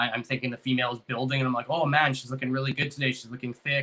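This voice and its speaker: Very fast, monotone, flat speech from a man at medium pitch with a bright, sharp tone. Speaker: ball python breeder, podcast host. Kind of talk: casual podcast chat.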